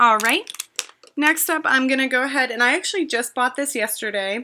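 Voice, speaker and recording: A woman with a high pitch speaks at a fairly quick pace in a raised, projected voice. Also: ordinary pitch variation. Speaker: beauty vlogger. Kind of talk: makeup tutorial. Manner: casual, chatty. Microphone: laptop webcam.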